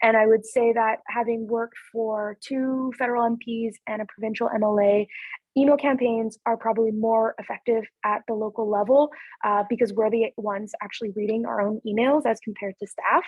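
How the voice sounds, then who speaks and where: A woman talks at a fairly quick pace in a normal speaking voice, pitched fairly high. Her intonation stays fairly even. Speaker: city councillor. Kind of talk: webinar presentation. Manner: many filler words (um).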